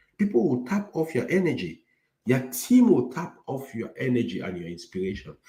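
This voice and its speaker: Pitch swings very widely and loudness shifts a lot in this dark, mellow voice. The pace is moderate, with vocal fry throughout. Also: man, medium pitch for a man. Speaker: IT career coach. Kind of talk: lecture. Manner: clear articulation.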